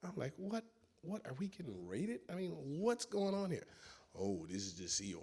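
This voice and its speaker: A man with a Chicago accent speaks with very wide pitch swings. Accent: Chicago American English. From US Midwest, Chicago. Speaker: former cult member. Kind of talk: testimony. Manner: halting.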